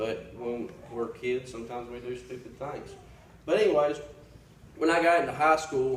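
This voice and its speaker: Over noticeable background noise and audible room echo, a man with an American accent talks at a fairly quick pace with fairly even intonation. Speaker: Sunday school teacher. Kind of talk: testimony. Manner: loud; halting.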